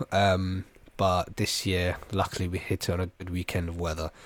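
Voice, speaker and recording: A man with a British accent speaks at a moderate pace in a very deep, low voice. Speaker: podcast co-host. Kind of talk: casual chat.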